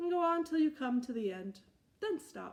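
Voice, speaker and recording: A woman uses a put-on character voice, high-pitched with very wide pitch swings. Her voice is raised and projected. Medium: read story. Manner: grave, self-important.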